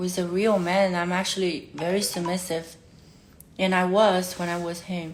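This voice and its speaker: A medium-pitched woman with a Chinese accent at a fairly slow pace, with audible room echo and noticeable background noise. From China. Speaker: livestreamer. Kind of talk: emotional livestream talk. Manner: halting.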